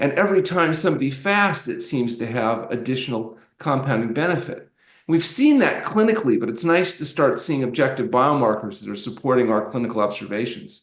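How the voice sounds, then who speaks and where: Speaking at a fairly quick pace, a man uses a normal speaking voice at medium pitch. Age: 60s. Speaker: doctor, fasting expert. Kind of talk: podcast interview.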